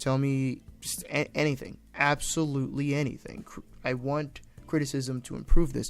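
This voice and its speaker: Music plays in the background as a man speaks at a fairly high pitch. His intonation is monotone and flat, with big swings in loudness. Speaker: indie game developer. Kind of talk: vlog-style dev update. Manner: fast; stumbling over words.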